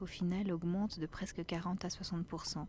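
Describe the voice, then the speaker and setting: A woman's gentle, dark, mellow tone, somewhat breathy, at a medium pitch. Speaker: ASMR creator. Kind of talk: casual talk to camera, ASMR chat. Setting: outdoors, forest walk. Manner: soft, gentle, whispery.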